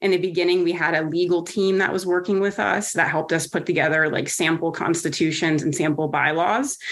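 A woman with a normal speaking voice talks at a fairly quick pace with hardly any pauses, her fairly low pitch held to a fairly even intonation and very even loudness. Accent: American. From New Jersey. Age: 40s. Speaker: women's wrestling advocate. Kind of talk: interview.

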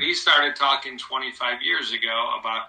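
A man's voice with noticeable background noise. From Michigan, US. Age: 60s. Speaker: cardiologist. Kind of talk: interview.

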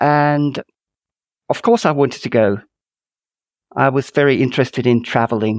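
A man with a Finnish accent at medium pitch, moderate in pace with long, frequent pauses and fairly even intonation, in a very clean recording with a silent background and a dry, close sound with no echo. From northern Finland, Kuusamo. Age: 50s. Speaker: author. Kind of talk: interview. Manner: halting, frequent repetitions.

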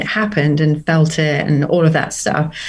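Against noticeable background noise, a woman talks at a fairly quick pace in a very deep, low voice. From Norfolk, England. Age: 50s. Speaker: recreational runner and university worker. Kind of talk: casual interview chat.

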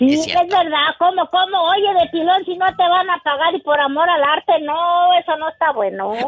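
Extremely high in pitch, a woman is speaking. She leaves hardly any pauses. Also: ordinary pitch variation, moderate pace. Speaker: caller. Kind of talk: casual chat.

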